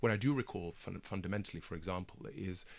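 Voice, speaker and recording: A man with a British accent and a very deep, low pitch, at a very fast pace, on a very clean recording with a silent background. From Kenya and England. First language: Swahili. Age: 30s. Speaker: broadcaster and documentary maker. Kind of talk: radio interview.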